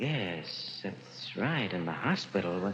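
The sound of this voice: A man puts on a character voice, low in pitch with a fairly bright tone. He goes at a slow pace with big pitch swings.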